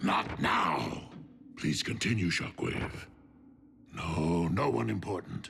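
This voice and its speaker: A man uses a cartoonish character voice with a very deep, low pitch. He talks at a fairly slow pace with long, frequent pauses over clear background noise. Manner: imperious.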